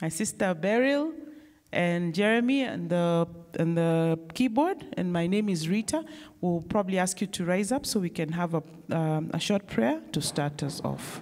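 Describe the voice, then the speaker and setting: This is a plain, everyday voice. The pace is moderate. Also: woman, fairly low pitch for a woman. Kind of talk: worship service leading and prayer. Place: church. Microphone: handheld.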